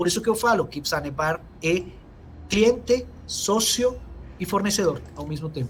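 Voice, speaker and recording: Lively intonation marks this man's high-pitched voice. He keeps a moderate pace with long, frequent pauses. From Venezuela. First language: Spanish (speaking Portuguese). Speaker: engineer, company technical director. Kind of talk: webinar Q&A answer.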